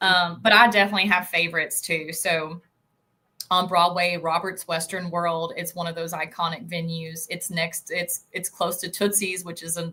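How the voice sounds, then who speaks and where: A woman speaks in a strong Southern US accent, her voice fairly low in pitch with a bright, sharp tone. Her intonation is monotone and flat, her pace moderate, with big swings in loudness. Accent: strong country Southern. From eastern Tennessee. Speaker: tourism board representative. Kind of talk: interview on video call. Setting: call. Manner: conversational, many filler words.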